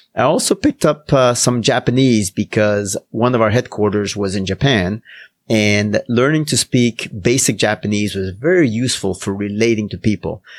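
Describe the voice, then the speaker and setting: A man with a Spanish accent talks at a moderate pace and a fairly low pitch with ordinary pitch variation, in a dry, close sound with no echo on a very clean recording with a silent background. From Canada, Quebec and Ontario. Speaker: professor and business owner. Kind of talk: interview.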